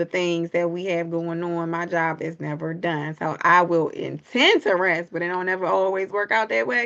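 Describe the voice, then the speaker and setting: Fairly low in pitch, a woman talks at a moderate pace. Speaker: podcaster. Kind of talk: vlog monologue. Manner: soft-spoken.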